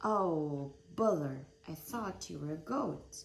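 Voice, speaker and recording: A gruff, put-on character voice at a middle pitch and a fairly slow pace. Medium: read story. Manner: gruff, roaring.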